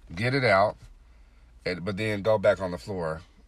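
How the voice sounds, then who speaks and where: Very deep and low, a man's voice carries vocal fry and lively intonation at a moderate pace. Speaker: podcast host. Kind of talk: solo monologue podcast. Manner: frequent filler words.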